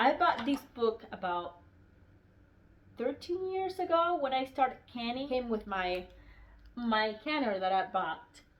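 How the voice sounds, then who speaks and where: Speaking at a fairly slow pace with long, frequent pauses, a woman with a non-native accent uses a high voice that swings very widely in pitch. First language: non-English. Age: 40s. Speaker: homesteading YouTuber. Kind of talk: casual book review vlog. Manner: halting, with fillers.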